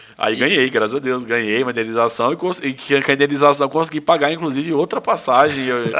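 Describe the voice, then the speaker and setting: At a very fast pace with hardly any pauses, a man with a fairly high pitch speaks in an animated tone with ordinary pitch variation. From Brazil. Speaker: lawyer and businessman. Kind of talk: casual podcast interview. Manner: animated, informal storytelling.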